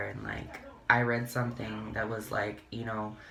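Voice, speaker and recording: Monotone, flat intonation runs through a man's fairly low-pitched voice. Audible room echo and noticeable background noise are present. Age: 20s. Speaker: beauty vlogger. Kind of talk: casual get-ready-with-me chat.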